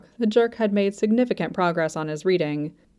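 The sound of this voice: Unforced reading voice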